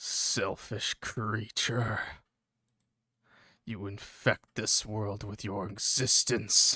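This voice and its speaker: A man whispers in a raspy, put-on character voice at a very slow pace, with long, frequent pauses. The sound is dry and close, with no echo. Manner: resentful, disdainful whisper.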